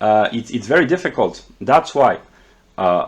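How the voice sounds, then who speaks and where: A man with a French accent talks at a moderate pace, his intonation lively. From France. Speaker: philosophy video creator. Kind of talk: lecture. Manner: halting.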